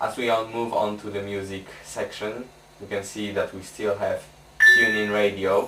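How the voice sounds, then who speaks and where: There is noticeable background noise behind this man. His voice is fairly low and monotone, with flat intonation. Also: moderate pace. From Poland. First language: Polish. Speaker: tech reviewer. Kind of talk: product review tutorial.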